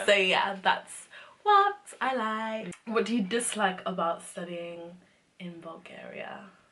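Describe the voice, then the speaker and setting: A woman at medium pitch with a London accent, very slow in pace, with fairly even intonation and big swings in loudness. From England. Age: 20s. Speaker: medical student. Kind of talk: casual talk to camera.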